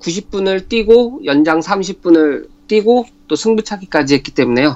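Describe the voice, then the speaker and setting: The man's pitch swings very widely. His pace is fairly slow. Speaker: sports commentator. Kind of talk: radio sports talk.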